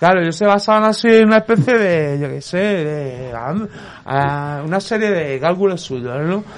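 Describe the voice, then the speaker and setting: A man speaks in a high voice at a moderate pace. His intonation is lively. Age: 40s. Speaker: mental health service user. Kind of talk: casual chat.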